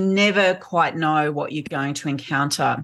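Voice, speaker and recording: With an Australian accent and lively intonation, a woman talks at a fairly slow pace against a quiet background. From rural central New South Wales, Australia. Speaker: sound artist. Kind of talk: interview conversation. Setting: video call.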